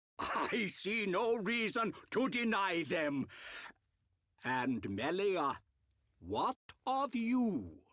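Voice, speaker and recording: Using a put-on character voice at a high pitch, a man talks at a very slow pace with long, frequent pauses. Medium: video game.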